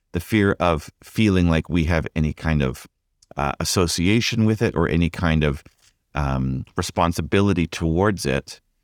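A man with a Canadian accent speaks in a very deep, low pitch at a moderate pace, with ordinary pitch variation and very even loudness. The recording is very clean, with a silent background and a dry, close sound with no echo. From Canada, Vancouver. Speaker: pastor. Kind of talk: interview conversation.

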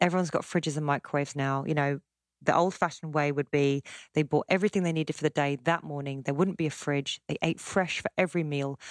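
Very fast speech with fairly even intonation and an English accent comes through a dry, close sound with no echo on a very clean recording with a silent background. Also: woman, very deep, low pitch for a woman. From South West London, England. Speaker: cookbook author and chef. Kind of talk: casual chat.

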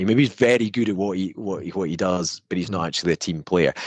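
The background is quiet as a man with a Scottish accent speaks in a very deep, low pitch. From Scotland. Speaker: venture capital investor. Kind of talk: interview conversation. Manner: hesitant, many fillers.

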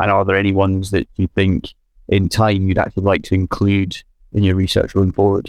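A man speaks at a fairly quick pace with a fairly low pitch. The sound is dry and close, with no echo. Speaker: podcast co-host. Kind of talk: podcast interview.

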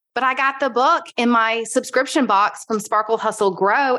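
Here is an unremarkable speaking voice. It moves at a moderate pace with lively intonation. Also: woman. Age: 40s. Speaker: podcaster and entrepreneur. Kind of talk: casual interview chat.

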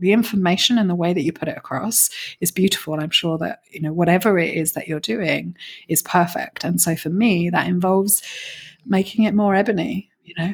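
A woman with a British accent at medium pitch and a moderate pace, with ordinary pitch variation. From Britain. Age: 40s. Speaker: business coach. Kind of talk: interview.

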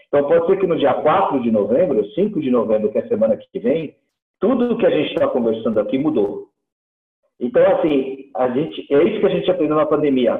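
His voice, fairly high in pitch, makes very wide pitch swings as the man speaks. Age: 60s. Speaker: dairy company executive. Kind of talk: interview.

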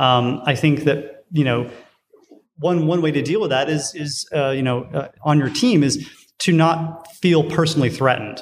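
A man with an unremarkable speaking voice, speaking with ordinary pitch variation. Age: 40s. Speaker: design director. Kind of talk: interview. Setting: conference venue.

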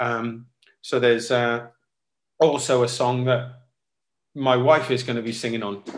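A man with a Welsh accent speaks at medium pitch and a moderate pace. His intonation is monotone and flat, broken by long, frequent pauses. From Wales, Cardiff. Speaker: singer-songwriter and saxophonist. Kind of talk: casual interview.

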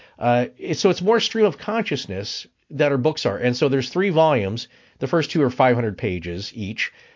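A man with a plain, everyday voice and an American accent speaks at a fairly quick pace and a medium pitch. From US Pacific Northwest, Spokane area. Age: 50s. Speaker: podcaster. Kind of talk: casual interview conversation.

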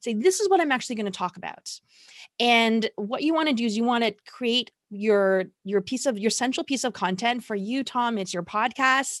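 In a Canadian accent, a woman with fairly high pitch speaks at a moderate pace with lively intonation and an animated, energetic tone, recorded very clean with a silent background and a dry, close sound with no echo. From Toronto, Canada. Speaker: marketing consultant. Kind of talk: interview.

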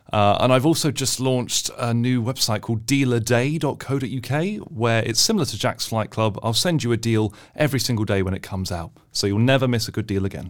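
A man's medium-pitched voice with a British accent, fairly quick and with hardly any pauses, ordinary pitch variation, on a very clean recording against a silent background. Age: 20s. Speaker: money-saving deals expert. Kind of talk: casual interview.

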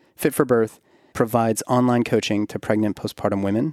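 Very cleanly recorded with a silent background and a dry, close sound with no echo, a man with a dark, mellow tone and fairly low pitch talks at a fairly quick pace with ordinary pitch variation. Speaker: podcast host and OB-GYN. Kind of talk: podcast intro and sponsor reads; casual interview. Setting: in person recording. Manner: long-winded.

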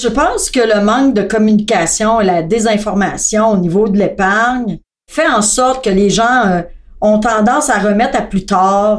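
A woman speaks in a plain, everyday voice at a fairly slow pace, her pitch fairly high. Her loudness stays very even, with ordinary pitch variation. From Quebec, Thetford Mines. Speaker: customer service staff. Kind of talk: casual chat.

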